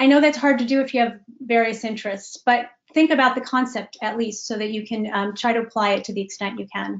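A woman with an American accent talks at a very fast pace, with a fairly high pitch and fairly even intonation, over a quiet background. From US Midwest, Chicago. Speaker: executive coach. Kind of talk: webinar presentation. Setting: video call. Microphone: webcam.

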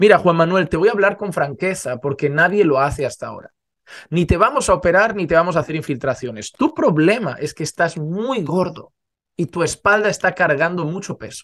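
Against a quiet background, a man with a high voice talks at a fairly quick pace with lively intonation. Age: 30s. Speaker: pastor. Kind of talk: sermon. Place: home room. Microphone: studio mic.

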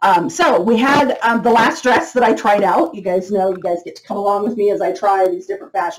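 A woman speaks with lively intonation. Behind her the background is quiet. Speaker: beauty product seller. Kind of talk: casual product review chat. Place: home room. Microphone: webcam.

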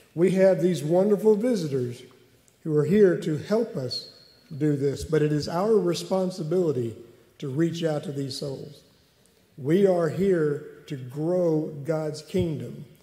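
A man speaks with a dark, mellow tone at a fairly high pitch and a fairly slow pace. His pitch variation is ordinary, and there is audible room echo. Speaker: church member making announcements; speaker. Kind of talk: announcements. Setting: church. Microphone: podium.

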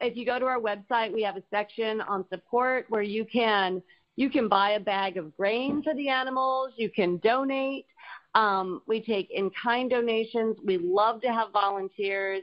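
This is an unremarkable speaking voice, moving at a moderate pace with ordinary pitch variation. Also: woman, fairly high pitch for a woman. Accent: American. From Colorado and Florida. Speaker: animal sanctuary co-founder. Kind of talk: casual interview.

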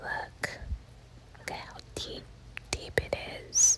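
A woman is whispering. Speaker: ASMR content creator. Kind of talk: ASMR house tour, casual talk to camera. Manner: soft whispering, relaxing. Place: bathroom. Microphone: phone near.

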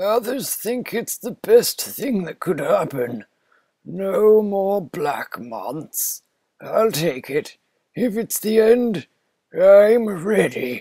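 A very slowly paced, high-pitched put-on character voice from a man. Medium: game stream.

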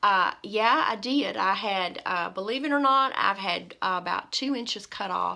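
Against a quiet background, a woman with a bright, sharp tone speaks at a fairly slow pace with lively intonation. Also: medium pitch for a woman. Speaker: beauty vlogger. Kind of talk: casual chat. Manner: halting. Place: home room. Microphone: phone near.

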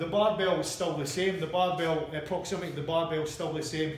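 A man speaks fairly quickly in a flat monotone, with audible room echo and light background noise. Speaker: coach. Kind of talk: tutorial. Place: gym. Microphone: camera far.

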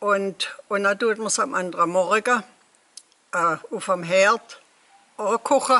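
A woman speaks at a very slow pace, with long pauses that come often. Her pitch sits in the medium range, with ordinary variation. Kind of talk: casual recipe explanation.

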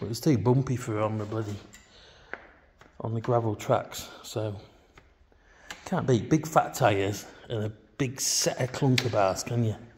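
A man at a moderate pace with fairly even intonation, amid noticeable background noise. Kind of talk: casual vlog chat. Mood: relaxed, wry. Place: garage. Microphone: phone near.

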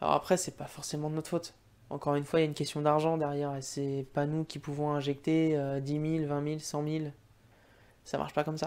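Fairly high-pitched for a man, this speaker moves at a fairly quick pace in a monotone, flat delivery. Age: 20s. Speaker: gaming YouTuber. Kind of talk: casual monologue to camera. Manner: halting, many fillers. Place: home room. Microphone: studio mic.

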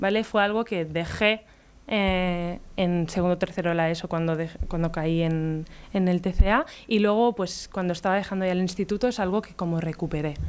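Speaking at a moderate pace, a woman is heard. Her intonation stays fairly even. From Catalonia, near Barcelona. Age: 20s. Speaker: illustrator and artist; speaker. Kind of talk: conference talk. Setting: stage with audience. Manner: casual, hesitant. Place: hall. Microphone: podium.

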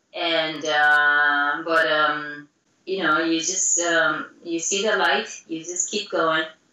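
A woman with a Japanese accent speaks very slowly at a fairly low pitch with fairly even intonation, and the room echo is audible. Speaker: professional dancer; interviewee. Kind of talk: interview. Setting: video call. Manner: halting. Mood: reflective, soft. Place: home room. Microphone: video call.

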